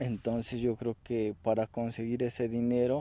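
Speaking at a fairly slow pace with a central Mexican accent, a man has a dark, mellow tone on a dry sound with no echo. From Mexico, State of Mexico (Toluca area); State of Mexico. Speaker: aspiring entrepreneur vlogger. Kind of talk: self-introduction vlog. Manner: halting, many fillers. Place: open country.

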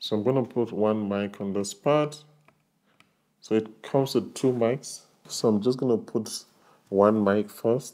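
With a dark, mellow tone, a man speaks at a fairly slow pace and keeps his intonation fairly even. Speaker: tech reviewer. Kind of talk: tutorial. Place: home room. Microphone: lapel.

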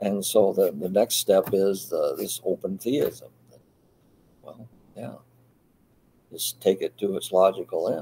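A man speaks at a very slow pace with long, frequent pauses. His loudness swings a lot over light background noise. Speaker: Bible study leader. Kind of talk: Bible study discussion. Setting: video call. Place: home room.

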